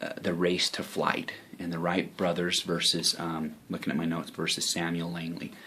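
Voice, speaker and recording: A soft-spoken man with a very deep, low pitch at a moderate pace, amid noticeable background noise. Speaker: online marketing vlogger. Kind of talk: casual vlog talk. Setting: home office. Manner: halting, many fillers.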